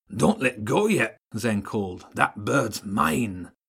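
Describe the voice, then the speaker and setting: Someone uses a put-on character voice, speaking at a fairly slow pace. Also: man, fairly low pitch for a man. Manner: bold, determined.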